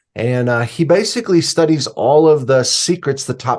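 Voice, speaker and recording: Against a quiet background, a man with a plain, everyday voice speaks at a moderate pace with lively intonation. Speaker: suspense novelist and writing teacher. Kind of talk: podcast interview.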